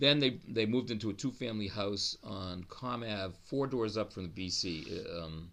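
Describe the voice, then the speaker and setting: The speaker has an American accent and talks at a moderate pace with ordinary pitch variation. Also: man, fairly low pitch for a man. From US Northeast, Newton, Massachusetts (Boston area). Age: 60s. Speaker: oral history interviewee. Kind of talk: oral history interview. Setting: law library at city hall. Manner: halting, with many restarts.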